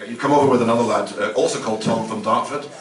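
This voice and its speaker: A man talks very fast at a medium pitch with fairly even intonation. Audible room echo and noticeable background noise come through. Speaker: radio presenter hosting player introductions. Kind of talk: live event introductions and interviews.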